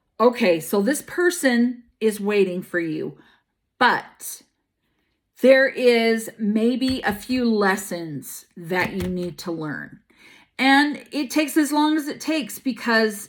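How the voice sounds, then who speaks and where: Speaking with a Utah accent, a woman uses a fairly high pitch and very wide pitch swings. She talks at a very slow pace in a very clean recording with a silent background. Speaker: tarot reader. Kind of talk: tarot reading monologue. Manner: casual, hesitant with fillers.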